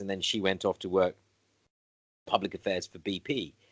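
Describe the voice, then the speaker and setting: A slight British accent at a moderate pace. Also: man. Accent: slightly BBC. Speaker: interviewer. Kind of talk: casual conversation. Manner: halting, many fillers.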